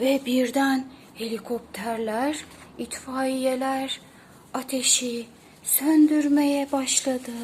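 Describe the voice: A woman with a high pitch and a slightly mellow tone speaks slowly, with few pauses and fairly even intonation.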